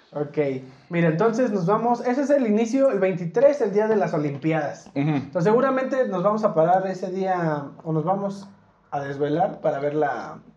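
A man talks at a moderate pace with a high pitch and lively intonation. Audible room echo surrounds his voice. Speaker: podcast host. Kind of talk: casual chat.

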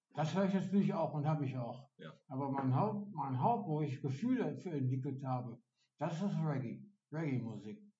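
With audible room echo behind him, a man speaks at a moderate pace in a fairly high pitch, his intonation lively. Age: 50s. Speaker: day center client. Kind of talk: casual chat.

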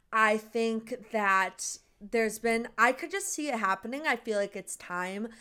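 A fairly high-pitched woman's voice, bright and sharp in tone, with ordinary pitch variation on a very clean recording with a silent background. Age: 20s. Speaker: podcast host. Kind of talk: casual chat.

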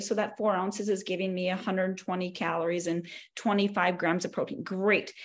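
With an American accent, a woman has a normal speaking voice, medium in pitch, with fairly even intonation at a moderate pace. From North Dakota, US. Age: 40s. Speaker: exercise physiologist and personal trainer. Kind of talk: casual interview chat.

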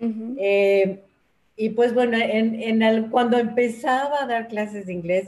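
At a very slow pace, a woman with a Mexico City accent speaks in a dark, mellow tone, her fairly high voice holding fairly even intonation. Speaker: teacher and workshop leader for older adults. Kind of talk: interview conversation. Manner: hesitant, many fillers.

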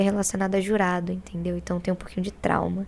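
This woman's voice has a dark, mellow tone. Her intonation is monotone and flat. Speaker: rapper, battle MC. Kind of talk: casual chat. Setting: studio.

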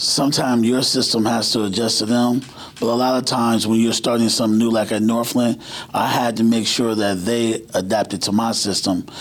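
Against noticeable background noise, a man with an American accent talks at a fairly quick pace and medium pitch, his intonation monotone and flat and his loudness very even. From Cleveland, Ohio. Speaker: high school basketball coach. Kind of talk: casual chat.

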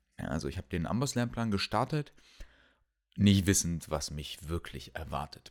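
A man talks with lively intonation and vocal fry. The recording is very clean, with a silent background. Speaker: medical student podcaster. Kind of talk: casual solo monologue. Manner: halting, many fillers and repetitions.

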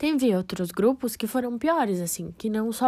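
On a very clean recording with a silent background, a woman uses an ordinary speaking voice at a fairly high pitch, with ordinary pitch variation. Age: 20s. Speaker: nursing student. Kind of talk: personal podcast monologue.

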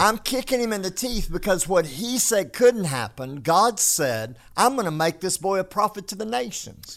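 In a very clean recording with a silent background, a man with a Texan accent talks at a moderate pace in a high pitch, with very wide pitch swings and hardly any pauses. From North Texas. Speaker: pastor. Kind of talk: casual chat.

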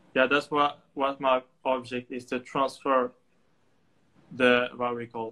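A man talks at medium pitch with a bright, sharp tone. His intonation is monotone and flat. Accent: Moroccan. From Morocco, Tangier. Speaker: photographer and student. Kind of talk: casual interview. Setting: remote call. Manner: halting, with many fillers.

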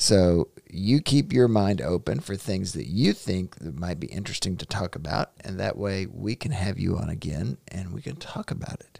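With a Southern US accent, a man speaks in a very deep, low pitch and a dark, mellow tone with vocal fry, very wide pitch swings, big swings in loudness and hardly any pauses. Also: dry, close sound with no echo. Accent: Southern US drawl. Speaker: podcast host, father. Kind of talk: casual chat. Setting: home studio.

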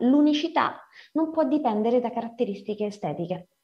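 A plain, everyday voice at a fairly quick pace, with lively intonation. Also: woman. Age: 40s. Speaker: writer and editor. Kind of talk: lecture.

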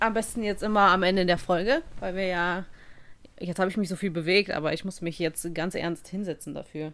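A woman speaks at a medium pitch in an unremarkable speaking voice with fairly even intonation. Her pace is fairly quick, and the recording is very clean with a silent background. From Germany. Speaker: podcast co-host. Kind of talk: casual chat.

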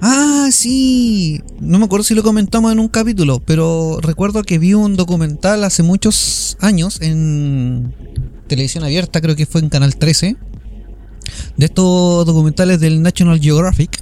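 With a Chilean accent and lively intonation, the speaker talks at a fairly slow pace and very even loudness over noticeable background noise. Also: man, high pitch for a man. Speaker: podcast host. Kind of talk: casual chat; reading aloud. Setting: remote recording over internet call.

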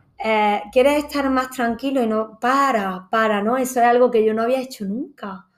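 A woman's high-pitched voice at a fairly slow pace. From Granada, Andalusia, Spain. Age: 30s. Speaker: yoga teacher and hotel entertainment manager. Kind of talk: casual chat.

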